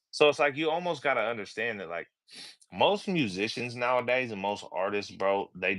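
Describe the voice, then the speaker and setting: A man with lively intonation, on a very clean recording with a silent background. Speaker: rapper and tattoo artist. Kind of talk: casual chat.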